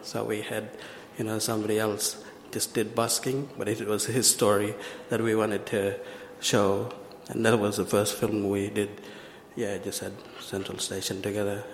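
A man's fairly low, monotone voice with flat intonation, a moderate pace, long and frequent pauses, noticeable background noise and audible room echo. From Western Australia, Broome and Western Desert. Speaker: filmmaker and video artist. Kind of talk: conference presentation.

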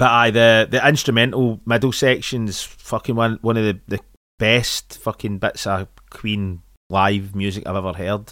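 With a Scottish accent, a man speaks at a medium pitch and fairly slow pace, keeping his intonation fairly even. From Scotland. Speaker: podcast co-host. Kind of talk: casual chat.

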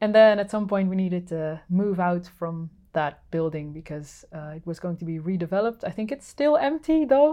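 A woman with a Dutch accent talks at a fairly quick pace. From Netherlands. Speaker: sound artist and instrument builder. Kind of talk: casual interview. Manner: halting, many fillers.

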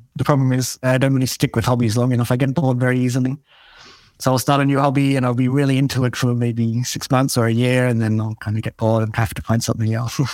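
A man talks at a very fast pace with an Australian accent. His medium-pitched voice stays monotone and flat. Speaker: software developer and mission volunteer. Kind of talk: interview.

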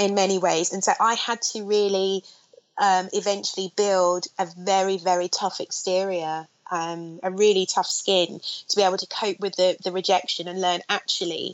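Her pitch sits in the middle range for a woman. She delivers every line with a flat, monotone intonation. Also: moderate pace. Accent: London. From south London (Streatham). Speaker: film director. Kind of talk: interview. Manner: hesitant, many fillers.

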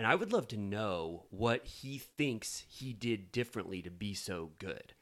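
Lively intonation marks a man's fairly low voice. The recording is very clean, with a silent background. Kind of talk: casual chat. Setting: studio. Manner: loud.

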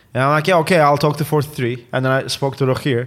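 Here a man speaks with a Turkish accent. His intonation stays fairly even. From Turkey. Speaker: football content presenter. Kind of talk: casual interview chat.

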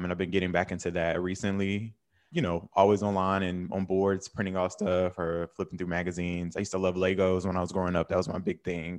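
Very fast, monotone delivery in a Southern US accent, flat intonation, hardly any pauses, quiet background. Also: man, very deep, low pitch for a man. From North Carolina. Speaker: writer and media founder. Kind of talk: casual interview chat.

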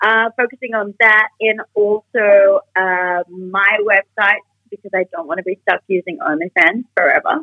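An Australian-accented woman talks at a fairly slow pace in an energetic, bubbly tone. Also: medium pitch for a woman, ordinary pitch variation. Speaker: adult content creator. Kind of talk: casual interview chat. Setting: video call.

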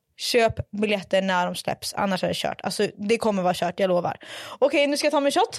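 A woman's animated, medium-pitched voice at a fairly quick pace, with lively intonation, hardly any pauses, and a dry, close sound free of echo. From northern Sweden, Umeå. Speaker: podcast host. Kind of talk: casual chat. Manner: animated, mixes in English.

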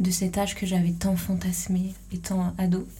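Audible room echo surrounds a woman at medium pitch whose intonation stays flat and monotone. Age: 20s. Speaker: podcast host. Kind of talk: solo monologue. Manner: hesitant.

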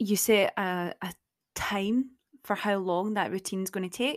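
A woman in a Scottish accent talks at medium pitch in an animated tone, with a dry, close sound with no echo and a very clean recording with a silent background. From Scotland. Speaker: podcast host. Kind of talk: casual chat. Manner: animated, laughs often; sounds sarcastic and condescending.

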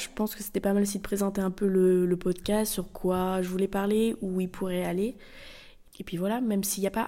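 At a moderate pace, a woman speaks at medium pitch in a dark, mellow tone. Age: 20s. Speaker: architecture student and podcaster. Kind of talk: casual solo monologue. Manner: hesitant, many fillers.

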